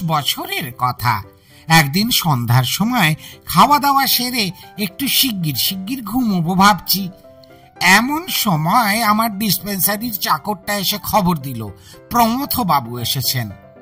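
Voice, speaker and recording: Over clear music in the background, a man in a put-on character voice projects loudly at a high pitch, moving fairly slowly through very wide pitch swings. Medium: audio drama. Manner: anecdotal, conversational.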